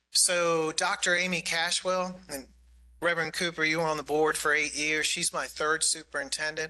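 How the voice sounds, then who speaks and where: Over a quiet background, a man with a fairly high pitch and a bright, sharp tone talks at a moderate pace in a monotone, flat intonation. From US Northeast, New York City. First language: Greek. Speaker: county government official. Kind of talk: budget presentation at public meeting. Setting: community meeting with audience.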